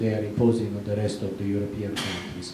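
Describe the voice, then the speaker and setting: A man speaks with an Italian accent. The recording carries audible room echo and noticeable background noise. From Italy. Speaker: audience member asking question at conference. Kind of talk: conference Q&A question. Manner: hesitant, many fillers.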